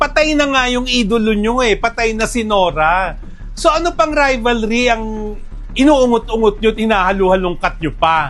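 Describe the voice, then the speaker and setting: A man's high-pitched, animated voice at a moderate pace, with lively intonation and music in the background. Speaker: film director and entertainment writer. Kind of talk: opinion commentary. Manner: animated, raised voice.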